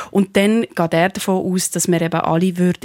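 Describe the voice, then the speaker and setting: A woman's fairly low voice comes through with a dry, close sound and no echo. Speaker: philosopher and TV presenter. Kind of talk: radio panel discussion.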